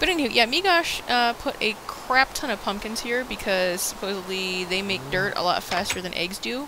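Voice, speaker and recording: The pace is moderate, and background noise is noticeable throughout. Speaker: gaming video co-host. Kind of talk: casual let's play chat. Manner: loud; animated.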